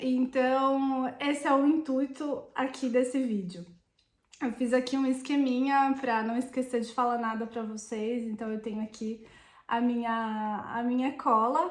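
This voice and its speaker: Her voice is high-pitched, a woman's. She moves at a fairly slow pace with fairly even intonation. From Brazil. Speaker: Italian citizenship consultant. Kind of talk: vlog monologue. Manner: hesitant, with fillers.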